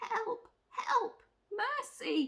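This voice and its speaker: A woman in a put-on character voice, her pitch extremely high. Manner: pleading.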